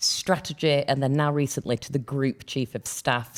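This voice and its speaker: In a Yorkshire accent, a woman speaks at a fairly quick pace on a very clean recording with a silent background. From Yorkshire, northern England. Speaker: podcast co-host. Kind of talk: casual chat.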